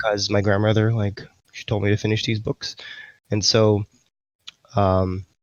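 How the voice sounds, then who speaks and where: Speaking in a New York accent, a man with a fairly low pitch talks at a moderate pace in a monotone, flat intonation with long, frequent pauses. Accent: New York American. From US Northeast, Queens, New York. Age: 30s. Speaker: esports team general manager. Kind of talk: interview. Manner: halting.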